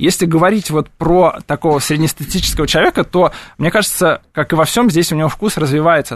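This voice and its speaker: At a fairly quick pace, a man has a normal speaking voice, pitched fairly high with ordinary pitch variation. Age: 30s. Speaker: cheese shop owner and cheese expert. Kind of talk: radio interview. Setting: radio studio.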